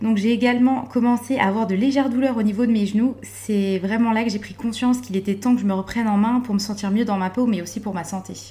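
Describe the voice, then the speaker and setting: A woman at a very fast pace, with a fairly high voice and fairly even intonation, over noticeable background noise. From France, Vosges. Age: 20s. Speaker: bank adviser and volunteer firefighter, weight-loss client. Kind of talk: testimony. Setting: dietitian's office.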